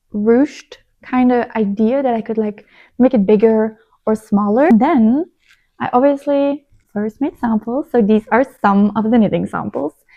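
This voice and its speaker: A woman with a non-native accent, fairly high pitch, ordinary pitch variation and a fairly slow pace. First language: not English. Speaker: knitting vlogger. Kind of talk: casual chat. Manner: chatty; halting.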